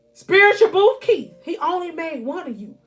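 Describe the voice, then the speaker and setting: A woman speaks in an animated tone at a moderate pace, with very wide pitch swings. Music plays in the background. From US South. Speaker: life coach and motivational speaker. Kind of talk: motivational live stream talk.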